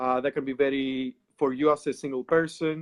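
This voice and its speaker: A man speaks with a Greek accent at a fairly high pitch. His intonation stays fairly even. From Greece. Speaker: occult practitioner. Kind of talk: casual interview.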